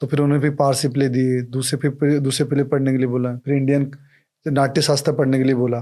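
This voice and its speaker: This man's voice is fairly high-pitched, with a dark, mellow tone. He keeps a moderate pace and a flat monotone. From India, Rajasthan (Jaipur). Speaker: actor and producer. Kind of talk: casual interview chat.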